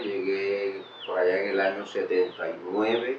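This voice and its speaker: A man speaks at a fairly slow pace with monotone, flat intonation. Noticeable background noise and audible room echo run through the recording. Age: 60s. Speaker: local resident. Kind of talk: testimony.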